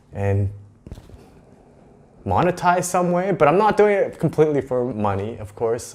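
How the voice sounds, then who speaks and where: A man with a Western Canadian accent and very wide pitch swings. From Vancouver area, British Columbia, Canada. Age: 30s. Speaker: vlogger. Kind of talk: casual vlog monologue. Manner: hesitant, many fillers.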